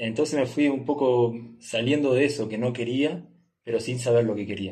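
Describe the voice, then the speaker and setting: Moderately paced, a man speaks with an unremarkable speaking voice at a medium pitch. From Uruguay. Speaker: travel entrepreneur. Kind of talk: casual interview. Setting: in person, recording in Nepal.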